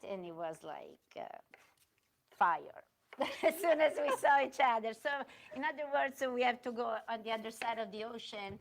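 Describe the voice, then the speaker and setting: In an Italian accent, a woman with a fairly high voice talks at a moderate pace, her intonation lively, with long, frequent pauses and big swings in loudness. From Italy, Milan. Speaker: restaurant owner and chef. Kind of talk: cooking demonstration. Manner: halting.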